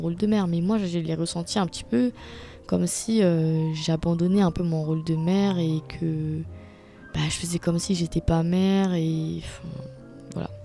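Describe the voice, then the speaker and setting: Over music in the background, a woman speaks at a moderate pace with a fairly low pitch and fairly even intonation. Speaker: podcaster. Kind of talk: personal monologue. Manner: hesitant, many fillers.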